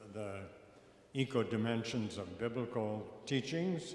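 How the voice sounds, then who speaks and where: Speaking at a very slow pace, a man is heard with noticeable background noise and audible room echo. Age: 80s+. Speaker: panelist speaker on faith and ecology. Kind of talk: panel discussion.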